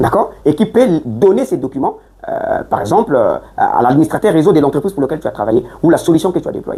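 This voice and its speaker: The speech is delivered at a very fast pace over noticeable background noise. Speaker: networking instructor. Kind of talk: classroom lecture. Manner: hesitant with fillers and repetitions.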